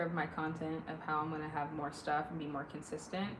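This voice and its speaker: Speaking at a fairly quick pace with a West Coast US accent, a woman is heard over noticeable background noise and audible room echo. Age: 30s. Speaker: livestreamer. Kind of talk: casual chat. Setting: live stream. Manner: animated.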